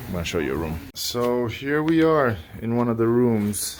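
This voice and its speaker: A man speaks quietly with lively intonation. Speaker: renovation contractor giving a site tour. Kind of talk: casual walkthrough video. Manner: quiet, keeping voice down.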